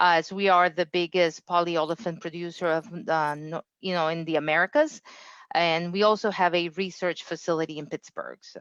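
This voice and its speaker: A woman with a non-native accent speaks at a moderate pace in a fairly low pitch, with fairly even intonation, over a quiet background in a dry, close sound with no echo. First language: not English. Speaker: engineering quality director. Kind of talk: interview. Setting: livestream.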